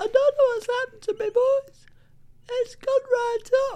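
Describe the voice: An extremely high-pitched, put-on character voice delivers its lines at a moderate pace.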